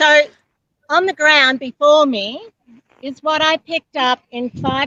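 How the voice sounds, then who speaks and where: A woman with an Australian accent speaks at a very slow pace in a raised, projected voice with a bright, sharp tone. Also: dry, close sound with no echo. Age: 70s. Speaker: litter collection volunteer. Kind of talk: casual chat. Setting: outdoors.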